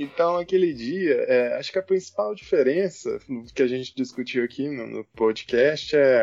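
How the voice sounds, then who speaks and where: With music in the background, a man talks at a fairly slow pace. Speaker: guest, university student. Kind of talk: casual chat.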